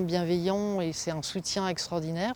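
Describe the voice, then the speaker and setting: A woman speaks at a medium pitch and a moderate pace, her intonation flat and monotone. The recording is very clean, with a silent background. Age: 60s. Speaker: cancer patient. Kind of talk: testimony. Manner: halting, many fillers.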